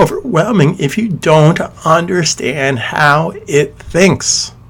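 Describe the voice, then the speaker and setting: A man's lively intonation comes through above noticeable background noise. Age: 50s. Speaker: software trainer. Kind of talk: tutorial. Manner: animated.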